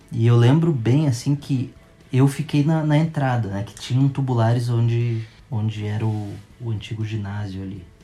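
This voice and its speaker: Music plays in the background. The voice moves at a moderate pace with ordinary pitch variation. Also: man, medium pitch for a man. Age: 30s. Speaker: football fan. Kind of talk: storytelling. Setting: at home with his son.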